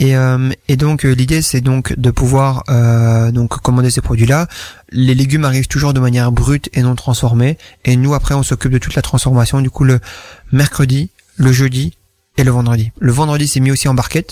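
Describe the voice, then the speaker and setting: At a moderate pace, a man speaks at a medium pitch with a dark, mellow tone, fairly even intonation and very even loudness. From Wallonia, Belgium (Namur province). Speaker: entrepreneur. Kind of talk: interview. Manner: hesitant, many fillers.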